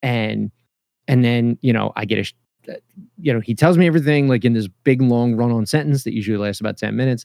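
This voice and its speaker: A man with a Philadelphia accent talks very fast in a dark, mellow tone. His medium pitch shows ordinary variation. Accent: Philadelphia-area American. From US, Philadelphia area (Lansdale, Pennsylvania). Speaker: podcaster and father. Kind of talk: casual interview. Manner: halting, many fillers and repetitions.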